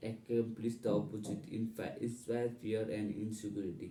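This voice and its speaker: Heard with audible room echo, a man with a strong non-native accent and a dark, mellow tone speaks fairly slowly at medium pitch. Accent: non-native, heavy. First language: not English. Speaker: English learner. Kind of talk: reading aloud. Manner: halting.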